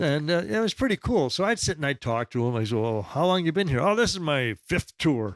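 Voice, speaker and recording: On a very clean recording with a silent background and a dry, close sound with no echo, a man speaks fairly quickly in a fairly high voice with very wide pitch swings. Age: 60s. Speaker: author and former drug agent, Vietnam veteran. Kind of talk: casual chat. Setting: studio. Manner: animated.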